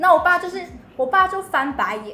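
A woman with a Taiwanese accent and an extremely high pitch raises and projects her voice at a moderate pace, with audible room echo around her. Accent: Taiwanese Mandarin. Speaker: podcast host. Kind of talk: casual chat.

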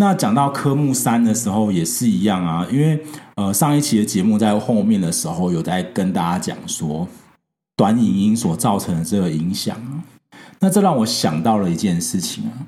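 With a Taiwanese accent, a man with a dark, mellow tone and fairly low pitch speaks at a moderate pace, his pitch swinging very widely. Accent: Taiwanese Mandarin. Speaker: podcast host. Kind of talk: casual solo podcast talk. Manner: hesitant, frequent fillers.

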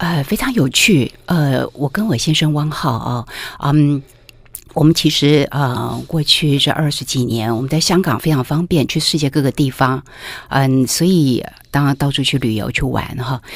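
With ordinary pitch variation, a woman talks in a very deep, low voice. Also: moderate pace. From Taiwan, Taipei. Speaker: food writer. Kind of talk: interview.

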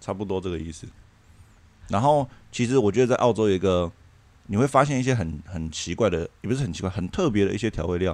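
A man talks at a very fast pace with a fairly low pitch. His intonation is lively, broken by long, frequent pauses. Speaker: former working holiday worker. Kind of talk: casual chat.

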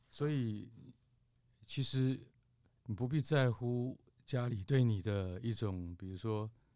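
A man with a dark, mellow tone speaks very slowly at medium pitch with ordinary pitch variation and long, frequent pauses. The recording is very clean, with a silent background. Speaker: podcast host. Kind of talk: casual chat.

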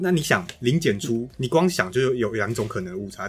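A man's somewhat breathy voice, medium in pitch, with lively intonation. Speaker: podcast co-host. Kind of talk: casual policy discussion.

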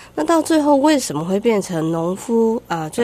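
A woman talks at a moderate pace with very wide pitch swings over noticeable background noise. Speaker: wildlife conservation researcher. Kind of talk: radio interview. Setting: studio.

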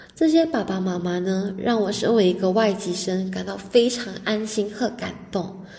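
A woman's medium-pitched voice with ordinary pitch variation, plus noticeable background noise and audible room echo. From Malaysia. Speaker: university student. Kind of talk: radio interview.

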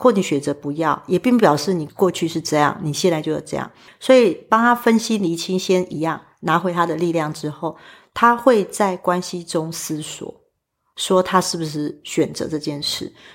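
A woman's fairly low voice with a Taiwanese accent. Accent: Taiwanese Mandarin. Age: 40s. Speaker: spiritual medium. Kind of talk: interview conversation.

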